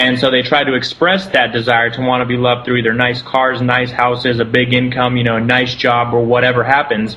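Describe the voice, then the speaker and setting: A man with an American accent speaks fairly quickly in a medium-pitched, monotone, flat voice at very even loudness, with hardly any pauses. Noticeable background noise sits behind him. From Southern California. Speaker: spiritual center founder. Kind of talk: interview.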